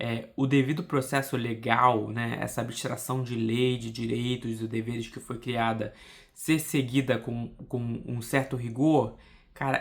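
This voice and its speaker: A man at medium pitch, fairly even in intonation, at a very slow pace. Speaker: political podcaster. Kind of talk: casual monologue.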